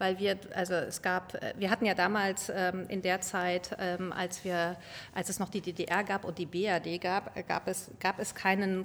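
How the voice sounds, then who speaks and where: A woman talks in a monotone, flat way, her pitch in the medium range. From grew up abroad, diplomat's child. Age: 40s. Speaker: car company executive. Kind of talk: interview. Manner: halting.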